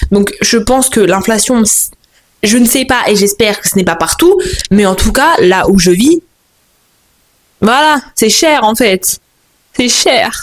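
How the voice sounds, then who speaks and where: Very slowly and with long, frequent pauses, a woman with a fairly high pitch speaks at very even loudness. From France, Moroccan family. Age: 20s. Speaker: vlogger. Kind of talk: casual monologue vlog. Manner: animated, halting with repetitions.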